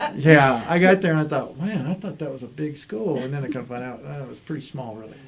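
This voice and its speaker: Someone with an American accent talks at a very fast pace with hardly any pauses, ordinary pitch variation and big swings in loudness, over noticeable background noise. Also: man, fairly high pitch for a man. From US South, Army brat raised partly in Germany and Texas. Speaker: state chief information officer. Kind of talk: casual interview chat. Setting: podcast recording.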